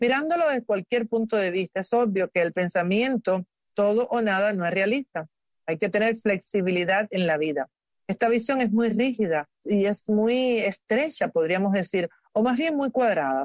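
A woman with a plain, everyday voice speaks at medium pitch and a moderate pace, her intonation lively and her loudness very even. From Cuba. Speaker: doctor, health segment presenter. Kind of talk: health advice talk.

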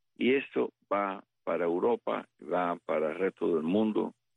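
A man speaks with a very deep, low pitch. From Cuba. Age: 60s. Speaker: retired US Army colonel, military analyst. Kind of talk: interview.

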